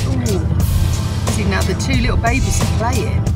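A woman's fairly slow speech over loud background music. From England. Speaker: travel vlogger. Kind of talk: casual vlog talk to camera. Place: farm machine. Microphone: phone near.

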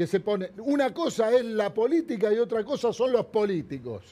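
This man has a Rioplatense accent and a high-pitched voice. His tone is dark and mellow, his intonation lively. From Argentina, Buenos Aires area; Argentina. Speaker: hairdresser and businessman; interview guest. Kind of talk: interview. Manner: animated. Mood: indignant, critical. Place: studio. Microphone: lapel.

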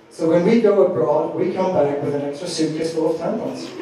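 Strong room echo and light background noise surround a man speaking at a moderate pace. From Austria. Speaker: stand-up comedian. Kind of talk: live stand-up comedy set. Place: stage.

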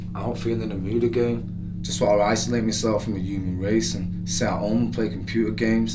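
A man speaks at a fairly quick pace with music in the background. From England. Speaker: spoken word poet. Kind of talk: spoken word poetry performance. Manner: introspective, troubled inner monologue. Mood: low, troubled, self-arguing. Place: bathroom.

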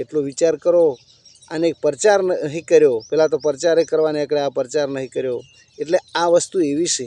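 A man's fairly high-pitched voice has a dark, mellow tone and fairly even intonation, the sound dry and close with no echo. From India, Gujarat (Banaskantha, Kankrej). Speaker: villager giving a devotional and political talk. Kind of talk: informal monologue to camera.

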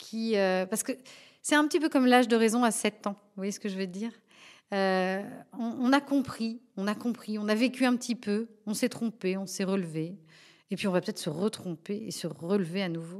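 Here a woman speaks at a moderate pace in a fairly high pitch with ordinary pitch variation. The recording is very clean, the background silent. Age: 40s. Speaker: fashion designer. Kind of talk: testimony. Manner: halting, with many repeated words.

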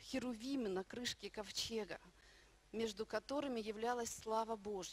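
Here is a woman talking at a moderate pace. Her pitch moves in an ordinary way. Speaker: minister. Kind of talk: sermon. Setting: church. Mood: warm, heartfelt. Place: hall. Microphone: handheld.

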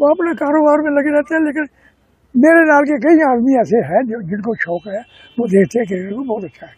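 With lively intonation and big swings in loudness, a man talks at an extremely high pitch. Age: 80s+. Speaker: amateur cricket player. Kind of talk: interview answer.

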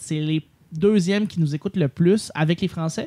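A man at a moderate pace, ordinary pitch variation, and noticeable background noise. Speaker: podcast host. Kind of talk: casual chat.

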